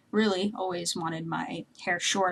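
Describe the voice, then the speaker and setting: A woman's somewhat breathy voice moves at a moderate pace, with ordinary variation in pitch. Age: 20s. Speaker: vlogger. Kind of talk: casual vlog monologue. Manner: halting, many fillers.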